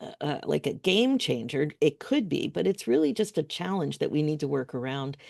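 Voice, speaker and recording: A woman's very deep, low pitch carries a dark, mellow tone with vocal fry. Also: quiet background. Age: 60s. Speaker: life coach. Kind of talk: workshop presentation. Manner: occasional word-search pauses.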